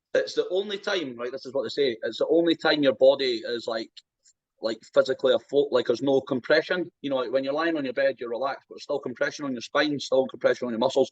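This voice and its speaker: A man with an Edinburgh accent at a very fast pace, with big swings in loudness. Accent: Scottish (Edinburgh). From Scotland, Edinburgh. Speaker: strongman athlete. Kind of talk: casual chat.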